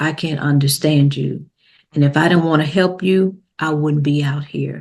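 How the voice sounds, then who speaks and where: At a moderate pace, a woman talks in a very deep, low voice with fairly even intonation over a quiet background. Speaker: life coach, former death investigator. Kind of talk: interview. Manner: halting, many fillers.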